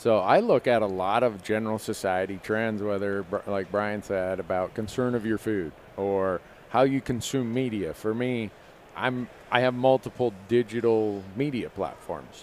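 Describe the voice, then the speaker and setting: With an American accent and a normal speaking voice, a man talks at a fairly low pitch with ordinary pitch variation over light background noise. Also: moderate pace, dry sound with no echo. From Minnesota, US Midwest. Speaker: hunting show host. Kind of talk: live panel discussion. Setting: trade show booth, live stream. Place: stage. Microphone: headset.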